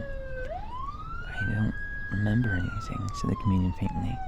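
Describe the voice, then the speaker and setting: A man talks as noticeable background noise carries through. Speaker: radio show host and voice actor reading a horror story. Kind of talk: horror fiction narration with voiced characters.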